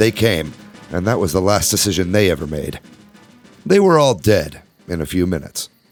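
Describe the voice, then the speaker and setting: Lively intonation over background music. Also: man. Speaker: podcast host. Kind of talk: audiobook narration.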